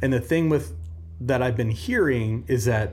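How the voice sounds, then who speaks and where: Medium-pitched, somewhat breathy male voice with an American accent, very wide pitch swings and a moderate pace. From Omaha, Nebraska. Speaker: college football podcast co-host. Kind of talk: casual chat.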